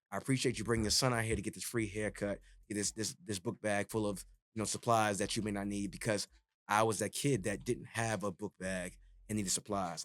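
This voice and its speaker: Speaking at a very fast pace in an East Coast US accent, a man with a fairly low pitch comes through a very clean recording with a silent background and a dry, close sound with no echo. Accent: non-Texan East Coast. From New York City (Jamaica, Queens). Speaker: DJ and retired radio personality. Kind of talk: podcast interview. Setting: studio.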